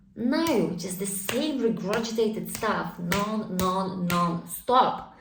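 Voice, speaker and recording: A woman speaks with a Polish accent and lively intonation. Audible room echo and noticeable background noise fill the recording. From Poland. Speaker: spiritual vlogger. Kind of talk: casual monologue. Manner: conversational, filler-heavy.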